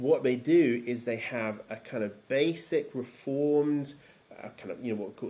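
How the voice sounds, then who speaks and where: This man's voice has a dark, mellow tone. His pitch moves with ordinary variation. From London, England. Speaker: theology PhD student and former pastor; interview guest. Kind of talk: interview conversation. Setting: video call. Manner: halting, many fillers. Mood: thoughtful, explanatory. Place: home room.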